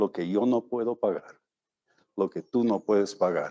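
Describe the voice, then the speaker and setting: Against a quiet background, a man with a medium pitch and a dark, mellow tone speaks in a dry, close sound with no echo. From Bolivia. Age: 70s. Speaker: missionary preacher. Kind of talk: sermon.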